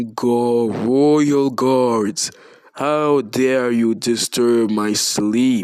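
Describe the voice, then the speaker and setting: Speaking very slowly, a man adopts a put-on character voice. His pitch sits in the middle range. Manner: angry.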